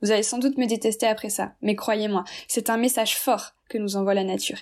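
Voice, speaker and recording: A woman with a fairly high pitch speaks at a fairly quick pace in a monotone, flat way on a very clean recording with a silent background. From Brittany, France. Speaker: marine biology graduate. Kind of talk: scripted self-introduction.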